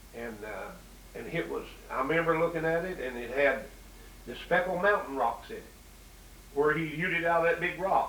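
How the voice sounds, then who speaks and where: With an Appalachian accent, a man talks at a fairly quick pace, broken by long, frequent pauses. His pitch variation is ordinary, and background noise is noticeable. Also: big swings in loudness. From Southwest Virginia, Appalachia. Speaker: interviewer.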